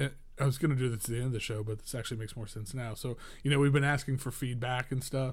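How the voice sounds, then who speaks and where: Very fast, somewhat breathy male speech at medium pitch with fairly even intonation. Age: 40s. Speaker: podcast co-host, music magazine editor. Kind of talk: casual chat. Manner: halting.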